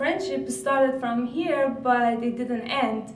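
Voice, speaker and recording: In an Iranian accent, the speaker goes at a fairly slow pace with audible room echo and noticeable background noise. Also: woman. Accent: Iranian (Persian) accent in English. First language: Persian. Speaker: graduate student researcher. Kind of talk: conference talk.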